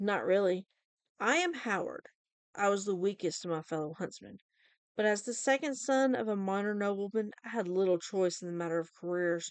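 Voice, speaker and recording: A woman puts on a growling character voice at a medium pitch. Her pace is moderate. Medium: read story. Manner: cold, menacing.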